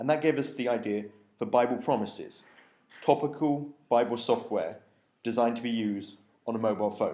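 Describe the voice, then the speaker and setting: Speaking with a British accent, a man uses a medium pitch, a dark, mellow tone and ordinary pitch variation at a fairly quick pace. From UK. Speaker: app developer, conference speaker. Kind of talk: conference talk.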